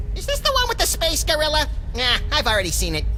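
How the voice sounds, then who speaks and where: Clear background noise sits under a cartoonish character voice delivered at a very fast pace. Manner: excitable, impulsive.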